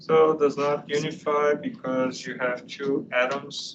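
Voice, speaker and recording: A man with a non-native accent speaks in a fairly high voice with ordinary pitch variation, over noticeable background noise and audible room echo. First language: not English. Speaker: university professor. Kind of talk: lecture.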